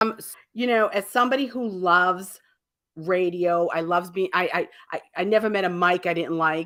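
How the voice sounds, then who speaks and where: In a Boston accent, the speaker uses a bright, sharp tone with big swings in loudness, ordinary pitch variation and a moderate pace, in a very clean recording with a silent background. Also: woman, medium pitch for a woman. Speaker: radio talk show host. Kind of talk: radio show host introduction.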